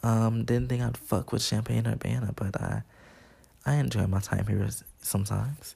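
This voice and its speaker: A man speaks at a moderate pace in a fairly low, somewhat breathy voice with a dark, mellow tone. His pitch swings very widely while his loudness stays very even. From Chicago. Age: 20s. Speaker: podcast host, college dance student. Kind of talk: casual solo monologue. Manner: casual, many filler words.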